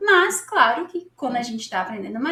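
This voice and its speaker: A woman with a Brazilian accent speaks with very wide pitch swings. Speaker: English teacher. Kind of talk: casual tutorial. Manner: animated; conversational.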